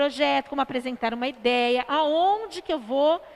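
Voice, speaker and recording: Her voice high and her intonation lively, a woman speaks at a moderate pace. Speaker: artist, teacher and social entrepreneur. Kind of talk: live stream interview. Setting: online live stream.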